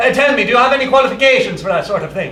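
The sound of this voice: A man's put-on character voice, extremely high in pitch and bright and sharp in tone, with lively intonation, a very fast pace and audible room echo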